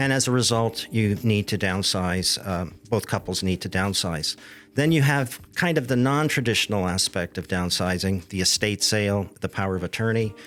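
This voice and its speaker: A man's normal speaking voice, fairly low in pitch with ordinary pitch variation, at a moderate pace with hardly any pauses, on a very clean recording with a silent background. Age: 60s. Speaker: real estate downsizing specialist. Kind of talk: interview.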